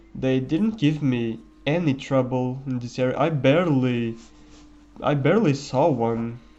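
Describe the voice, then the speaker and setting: There is audible room echo around this man's voice. He talks at a medium pitch and a fairly slow pace. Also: ordinary pitch variation. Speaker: gaming commentator. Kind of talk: gameplay commentary. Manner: halting. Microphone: quiet microphone.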